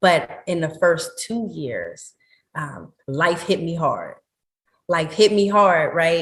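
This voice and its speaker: Somewhat breathy, a woman with an American accent speaks with ordinary pitch variation. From Pittsburgh, Pennsylvania. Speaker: meditation teacher and wellness entrepreneur. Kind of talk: podcast interview.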